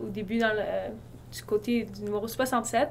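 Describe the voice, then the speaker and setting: A woman talks at a fairly quick pace. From eastern Ontario, Canada. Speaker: university student. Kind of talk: casual interview.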